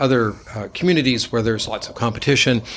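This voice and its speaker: A man at medium pitch with an American accent, plus noticeable background noise. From Nevada. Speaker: hospital system executive and vascular surgeon. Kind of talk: interview. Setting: in person, same room. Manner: halting with frequent repeats.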